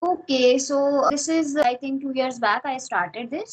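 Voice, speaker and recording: A woman with an Indian accent speaks at a moderate pace. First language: Hindi. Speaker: English learner. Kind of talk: casual chat.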